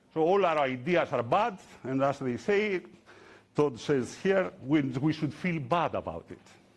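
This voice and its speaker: This man has a plain, everyday voice, speaking at a fairly slow pace with lively intonation. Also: fairly high pitch for a man. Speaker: open source software developer, conference speaker. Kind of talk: conference talk. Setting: stage with audience.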